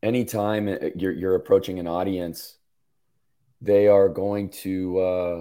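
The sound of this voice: A man's gravelly, low-pitched voice with a dark, mellow tone, little pitch movement, a slow pace and long, frequent pauses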